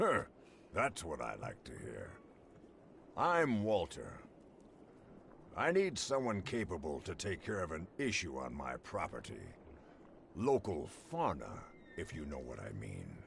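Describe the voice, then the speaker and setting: Raspy and in a put-on character voice, the speech moves at a fairly slow pace with long, frequent pauses over clear background noise. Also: man. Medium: video game. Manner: smooth, ingratiating.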